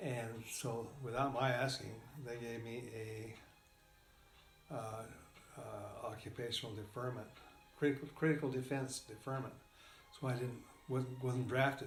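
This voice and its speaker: Over music in the background, a man with an American accent speaks at a moderate pace and medium pitch in a flat monotone, taking long, frequent pauses. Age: old. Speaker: retired engineer. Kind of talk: interview answer. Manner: hesitant, halting.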